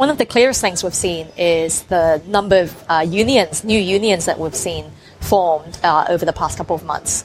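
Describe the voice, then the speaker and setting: A woman's fairly low voice with ordinary pitch variation and hardly any pauses, over noticeable background noise. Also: moderate pace. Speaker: journalist. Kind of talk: interview. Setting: cafe.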